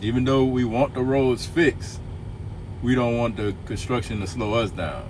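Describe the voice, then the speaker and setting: A man with a Louisiana accent and a medium-pitched voice talks at a moderate pace over noticeable background noise. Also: ordinary pitch variation. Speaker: truck driver. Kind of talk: casual livestream chat.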